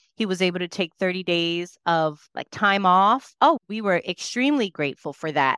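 A woman speaks in an ordinary speaking voice, medium in pitch, with lively intonation. The sound is dry and close with no echo, a very clean recording with a silent background. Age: 30s. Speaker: business consultant and podcast host. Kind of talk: casual interview chat.

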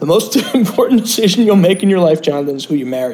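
Putting on a character voice with a strong Brooklyn accent, a man talks at a very fast pace in a high-pitched, raspy voice. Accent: thick Brooklyn.

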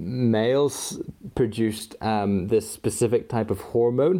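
The recording is very clean, with a silent background. A man speaks in a normal speaking voice at a medium pitch and a fairly slow pace. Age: 20s. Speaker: user experience designer. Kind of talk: casual chat.

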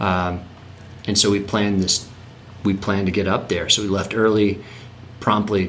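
A man with an American accent talks at a moderate pace and a fairly low pitch, his intonation monotone and flat, his loudness very even, with long, frequent pauses and audible room echo. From North Carolina. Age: 30s. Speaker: land trust executive director. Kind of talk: casual interview.

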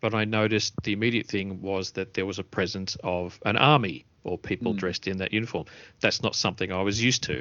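Talking at a very fast pace with an Australian accent, a man uses a fairly low pitch and ordinary pitch variation. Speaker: podcast host. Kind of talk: casual chat.

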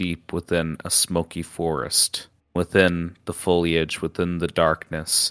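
With a clear, smooth, fairly bright tone, a man speaks low in pitch at a fairly slow pace in a monotone, flat intonation.

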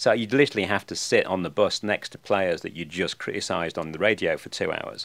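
Speaking at a very fast pace with hardly any pauses, a man swings widely in loudness on a very clean recording with a silent background. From England. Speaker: sports media executive. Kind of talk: interview.

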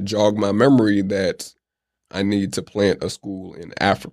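In a plain, everyday voice, a man speaks at a fairly low pitch with an American accent. His intonation is fairly even, and the recording is very clean with a silent background. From Atlanta, US South, Oakland roots. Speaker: entrepreneur. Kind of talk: interview.

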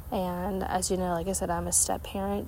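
With an American accent, a woman speaks as noticeable background noise carries on. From Ohio, US. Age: 30s. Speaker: podcast host. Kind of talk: casual monologue. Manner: hesitant, many fillers.

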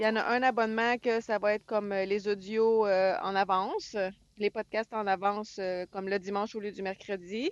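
Speaking with a Quebec accent, a woman uses a fairly high voice. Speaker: truck driver and podcast co-host. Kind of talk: casual chat. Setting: in a truck.

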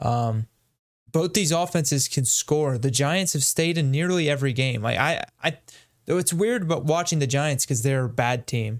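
In a very clean recording with a silent background, a man with a normal speaking voice talks at a moderate pace, his fairly high pitch showing ordinary variation and his loudness very even. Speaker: co-host. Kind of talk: casual chat.

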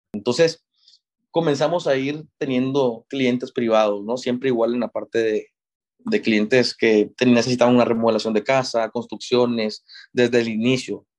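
The sound is dry and close with no echo as a man speaks at a moderate pace and medium pitch with fairly even intonation. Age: 20s. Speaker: civil engineer, construction manager. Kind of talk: interview. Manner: halting, many fillers.

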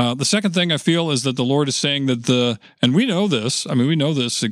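A man speaks with a normal speaking voice at a fairly quick pace. His pitch is fairly high and his intonation lively. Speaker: house of prayer director. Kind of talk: casual chat.

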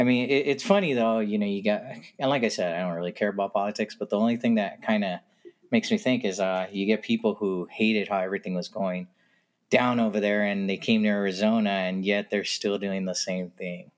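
A man's plain, everyday voice, fairly low in pitch with fairly even intonation. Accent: American. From California. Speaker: podcast guest. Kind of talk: casual chat. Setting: remote recording.

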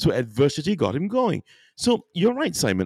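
A man with vocal fry and a dark, mellow tone speaks at a fairly quick pace with very wide pitch swings. The recording is very clean, dry and close, with no echo and a silent background. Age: 50s. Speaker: podcaster and voice artist. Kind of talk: casual chat.

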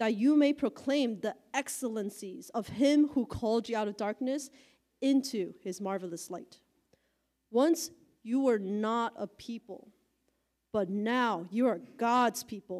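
A normal speaking voice with ordinary pitch variation unfolds at a fairly slow pace on a very clean recording with a silent background. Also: woman, fairly high pitch for a woman. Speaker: congregation member reading scripture. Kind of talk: reading aloud.

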